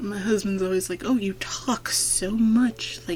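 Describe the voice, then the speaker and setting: A quiet woman's voice at a moderate pace, with noticeable background noise. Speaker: gaming YouTuber. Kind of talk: let's play voiceover commentary. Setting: home recording at night. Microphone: speakers off to avoid echo.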